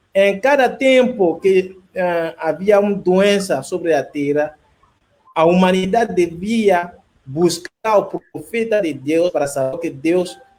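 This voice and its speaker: A man's high-pitched voice at a very slow pace. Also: ordinary pitch variation. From Ivory Coast. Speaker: pastor. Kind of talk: religious discussion. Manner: halting.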